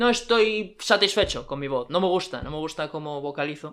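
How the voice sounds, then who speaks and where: The man talks fairly quickly, his pitch varying in an ordinary way. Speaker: video essay creator. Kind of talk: scripted narration.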